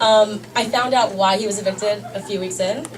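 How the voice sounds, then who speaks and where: A woman with a US East Coast accent, medium in pitch with ordinary pitch variation, amid audible room echo and noticeable background noise. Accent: US East Coast, fast talker. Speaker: stand-up comedian. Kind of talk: stand-up. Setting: stage with audience. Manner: fast.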